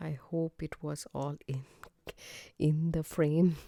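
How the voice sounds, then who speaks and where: Soft-spoken and very slow, the voice comes through on a very clean recording with a silent background. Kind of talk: tutorial. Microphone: mic held close.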